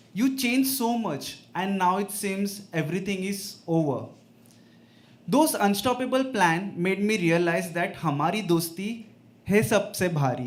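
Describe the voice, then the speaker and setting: Against audible room echo, a man with a high pitch talks at a very slow pace using lively intonation. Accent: Indian. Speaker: open mic poet. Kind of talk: poetry reading. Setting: stage with audience.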